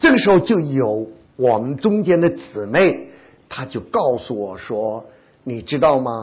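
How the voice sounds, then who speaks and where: A man speaks at a fairly slow pace in a somewhat breathy voice. His pitch swings very widely and his loudness swings a lot. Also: medium pitch for a man. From China. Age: 70s. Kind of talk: testimony. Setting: church.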